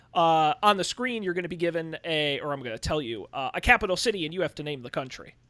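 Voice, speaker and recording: Mumbling at a very fast pace, a man has a bright, sharp tone and lively intonation, captured in a very clean recording with a silent background and a dry, close sound with no echo. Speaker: game master. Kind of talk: tabletop role-playing game. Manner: mumbly.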